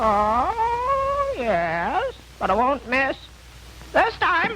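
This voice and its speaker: A cartoonish, high-pitched character voice at a very slow pace, with clear background noise. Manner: squawking, exclaiming "oh" constantly.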